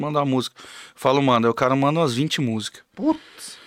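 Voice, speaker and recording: A man speaks at a moderate pace in a normal speaking voice, with medium pitch and ordinary pitch variation, in a dry, close sound with no echo on a very clean recording with a silent background. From Mato Grosso do Sul, Brazil (Camapuã). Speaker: songwriter and musician. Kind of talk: casual chat.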